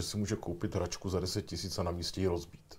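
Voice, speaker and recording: A man with a dark, mellow tone speaks somewhat breathily at a moderate pace. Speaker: talk show host. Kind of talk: interview.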